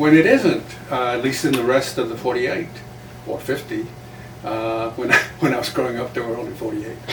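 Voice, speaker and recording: Over noticeable background noise and audible room echo, a man talks at a fairly quick pace in a medium pitch with fairly even intonation and long, frequent pauses. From South Texas, Laredo (Mexican-American border). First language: Spanish. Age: 80s+. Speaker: retired journalist and playwright. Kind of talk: interview conversation.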